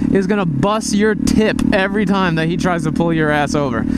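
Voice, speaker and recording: The speech moves at a moderate pace with a dry sound and no echo, over loud background noise. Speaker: motovlogger. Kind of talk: casual vlog chat. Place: motorbike. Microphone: helmet.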